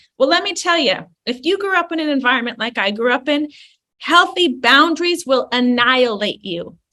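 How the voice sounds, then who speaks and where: The voice is raised and projected, bright and sharp in tone, with lively intonation and a fairly quick pace. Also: woman, high pitch for a woman. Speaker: clinical psychologist. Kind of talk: interview. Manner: animated.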